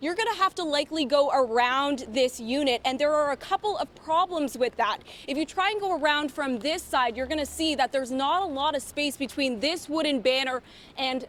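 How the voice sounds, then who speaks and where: Against noticeable background noise, a woman with a high pitch speaks at a moderate pace with ordinary pitch variation. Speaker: television news reporter and anchor. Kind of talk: broadcast news reporting and anchoring.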